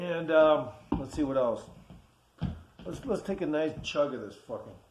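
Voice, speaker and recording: Speech in a relaxed tone comes at a moderate pace with big swings in loudness, audible room echo and noticeable background noise. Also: man, fairly high pitch for a man, ordinary pitch variation. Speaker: amateur phone music maker, vlogger. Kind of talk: casual late-night vlog monologue. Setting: at home, dark room. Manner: halting, slurred at times; relaxed, rambling.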